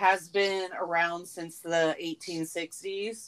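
A woman with an American accent speaks at a very slow pace. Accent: southern US, toned down on the show. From US South. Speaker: podcast co-host. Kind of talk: casual chat with true crime narration.

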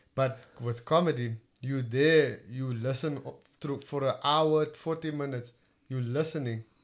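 With a Cape Town accent, a man speaks at a fairly high pitch and keeps his intonation fairly even. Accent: Cape Town South African English. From Cape Town, South Africa. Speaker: stand-up comedian. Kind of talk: casual interview chat.

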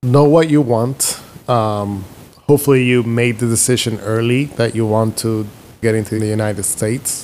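Music plays in the background as a man speaks at a moderate pace with fairly even intonation. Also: medium pitch for a man. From Dominican Republic. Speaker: neurology physician. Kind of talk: casual interview.

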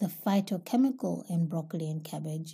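With a dark, mellow tone, a woman speaks in a fairly low, somewhat breathy voice at a moderate pace and with ordinary pitch variation. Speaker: holistic health podcast host. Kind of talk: solo educational talk.

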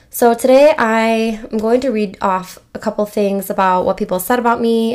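In an American accent, a woman uses a normal speaking voice with fairly even intonation at a moderate pace. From Michigan. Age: 20s. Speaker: podcast host. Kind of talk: casual monologue. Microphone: new microphone.

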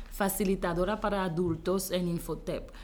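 A woman speaks fairly slowly, with audible room echo. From Haiti. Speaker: image consultant and entrepreneur. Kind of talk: interview.

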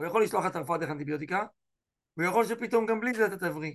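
This man speaks. His tone is animated. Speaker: rabbi teaching a class. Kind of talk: online lecture.

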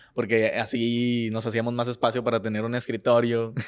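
The man talks at a moderate pace, and the recording is very clean with a silent background. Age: 20s. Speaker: food content creator and chef. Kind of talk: casual chat.

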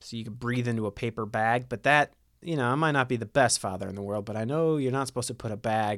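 A man's fairly quick speech with ordinary pitch variation, in a very clean recording with a silent background. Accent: Midwestern American. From Ohio, US Midwest. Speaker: podcast host. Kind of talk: casual chat.

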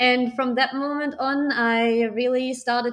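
A woman with a German accent talks at a fairly slow pace with fairly even intonation. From Germany, small town. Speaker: startup founder and art coach. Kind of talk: interview.

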